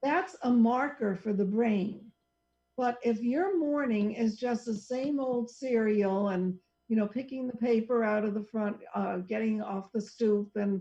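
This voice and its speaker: A woman with an ordinary speaking voice talks at a fairly slow pace and a fairly high pitch, with ordinary pitch variation. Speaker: psychologist who counsels clients. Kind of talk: casual radio talk show conversation.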